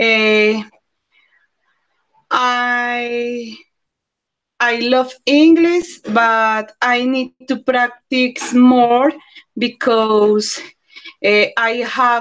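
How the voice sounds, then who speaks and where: A woman talks at a very slow pace with long, frequent pauses. Her voice is high in pitch and fairly even in intonation. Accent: Colombian. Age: 30s. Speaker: primary school teacher and English student. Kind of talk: self-introduction in English class. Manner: halting.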